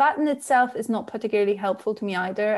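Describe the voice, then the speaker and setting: In a very clean recording with a silent background, a woman talks with a Polish accent. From Poland. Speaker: novelist. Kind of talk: interview.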